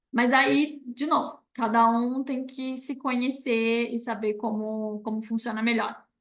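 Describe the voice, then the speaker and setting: A woman in a normal speaking voice, fairly slow, with hardly any pauses and fairly even intonation. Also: fairly high pitch for a woman. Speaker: university professor giving a talk. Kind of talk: online presentation with Q&A. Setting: video call.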